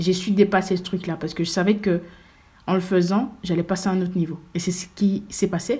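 A woman with a dark, mellow tone and a somewhat breathy voice speaks at a fairly quick pace in a medium pitch. Her intonation is fairly even, on a very clean recording with a silent background. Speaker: podcast host. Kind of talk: motivational monologue.

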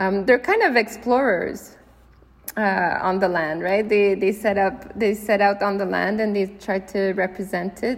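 A woman at medium pitch with a Quebec accent, fairly even intonation, and a moderate pace. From Canada, Quebec (Gatineau, Ottawa suburbs) and Brittany, France. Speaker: artist and filmmaker. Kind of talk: interview. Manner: halting, many fillers and repetitions.

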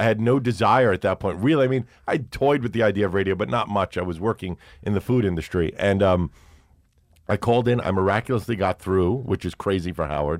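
With a New York accent, a man talks very fast in a fairly low voice with ordinary pitch variation, recorded very cleanly against a silent background with a dry, close sound and no echo. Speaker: radio host and podcaster. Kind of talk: casual chat. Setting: studio.

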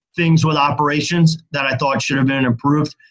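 A man with a fairly high pitch sounds somewhat breathy. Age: 40s. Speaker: festival organiser and marketing agency founder. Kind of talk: interview.

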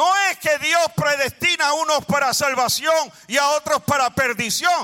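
A man with a Puerto Rican accent uses a raised, projected voice, speaking in an animated tone at an extremely high pitch and a fairly slow pace. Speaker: preacher. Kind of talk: sermon. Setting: church with congregation.

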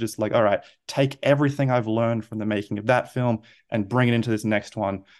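Against a quiet background, a man with an Australian accent talks at a fairly quick pace with fairly even intonation. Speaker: film director. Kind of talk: interview. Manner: halting.

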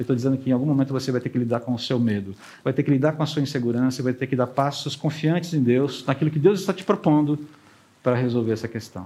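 At a very fast pace, a man talks in a somewhat breathy voice with a dark, mellow tone, a medium pitch, and ordinary pitch variation. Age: 50s. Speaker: pastor. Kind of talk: sermon.

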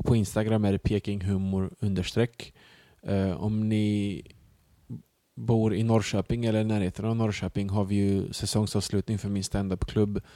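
A man's dark, mellow, fairly low voice in a monotone, flat delivery, with a dry, close sound and no echo. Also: moderate pace, very clean recording, silent background. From Sweden, Bosnian parents. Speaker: comedian. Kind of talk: casual chat.

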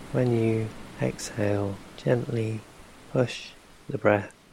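A man's fairly low, calm voice at a very slow pace, with noticeable background noise. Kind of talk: guided meditation. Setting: ocean wave sounds in background. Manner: slow, calm, soft-spoken, with long pauses between instructions.

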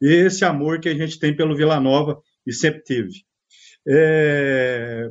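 A man with a plain, everyday voice, fairly high in pitch with ordinary pitch variation, at a fairly slow pace. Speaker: football fan. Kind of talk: interview.

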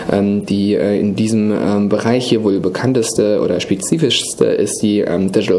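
A man is speaking with noticeable background noise. The room echo is audible. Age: 30s. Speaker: digital industry association banking lead. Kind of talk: interview. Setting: office.

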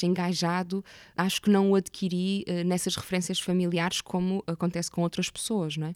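Against a silent background in a very clean recording, a woman speaks at a medium pitch with monotone, flat intonation. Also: dry, close sound with no echo. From Portugal, Porto area. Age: 30s. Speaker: actress and theatre maker. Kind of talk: interview conversation.

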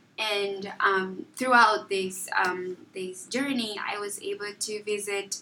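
Amid noticeable background noise, a woman speaks very slowly at a medium pitch with fairly even intonation and big swings in loudness. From southern Angola. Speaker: college student. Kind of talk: casual interview.

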